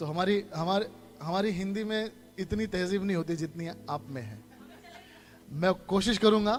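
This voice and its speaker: Noticeable background noise surrounds a man with a high pitch and a Bombay accent. He uses ordinary pitch variation and takes long, frequent pauses. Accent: Bombay-style Hindi. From India, Mumbai. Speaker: guest preacher. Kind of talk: sermon. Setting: church. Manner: code-switching Hindi and English.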